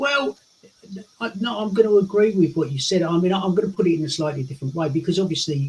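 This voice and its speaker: A man speaks with an English accent and a high pitch. Noticeable background noise runs underneath. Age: 60s. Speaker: lifestyle coach. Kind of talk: interview chat. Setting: live stream. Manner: animated.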